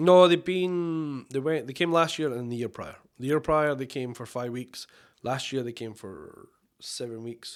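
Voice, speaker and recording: On a very clean recording with a silent background, a man with a Scottish accent speaks at a moderate pace and fairly high pitch, with ordinary pitch variation and big swings in loudness. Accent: Scottish, somewhat toned down. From Scotland, Oban (west Highlands). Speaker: chef and restaurant owner. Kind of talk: casual chat.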